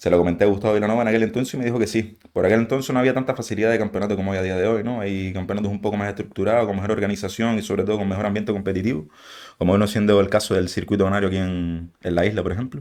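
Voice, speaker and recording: Very fast, fairly even delivery from a man at a fairly low pitch on a very clean recording with a silent background. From Canary Islands, Spain (Gáldar, Gran Canaria). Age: 20s. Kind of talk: podcast interview. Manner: casual.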